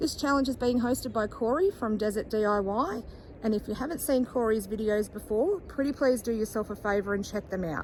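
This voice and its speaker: Over noticeable background noise, someone with an Australian accent talks at a fairly quick pace with ordinary pitch variation. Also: woman, fairly high pitch for a woman. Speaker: furniture flipping YouTuber. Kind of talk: DIY vlog tutorial.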